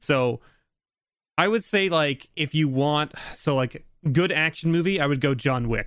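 With a Canadian accent, a man talks at fairly high pitch in an unremarkable speaking voice. His pace is fairly slow, with ordinary pitch variation and very even loudness. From Canada. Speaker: YouTube creator. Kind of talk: casual chat.

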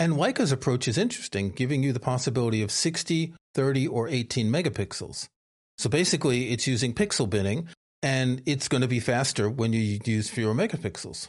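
A normal speaking voice at a fairly quick pace, with lively intonation and very even loudness. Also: man, medium pitch for a man. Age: 60s. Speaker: photography podcast co-host. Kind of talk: casual chat.

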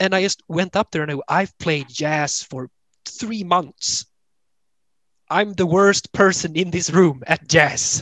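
Speaking at a very slow pace, a man with a Swedish accent has a high pitch. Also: ordinary pitch variation, dry, close sound with no echo. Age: 20s. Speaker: band member, bassist. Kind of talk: interview conversation.

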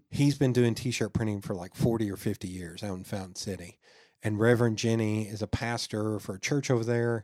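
A plain, everyday voice moves at a fairly quick pace with fairly even intonation and big swings in loudness, on a very clean recording with a silent background. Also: man, fairly low pitch for a man. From Knoxville, East Tennessee, US. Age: 40s. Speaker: podcaster and business owner. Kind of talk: casual chat.

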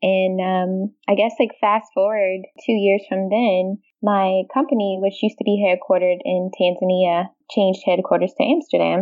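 At a moderate pace, a woman talks with a medium pitch, ordinary pitch variation and very even loudness. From US, Washington D.C. area. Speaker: software developer. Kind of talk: casual chat.

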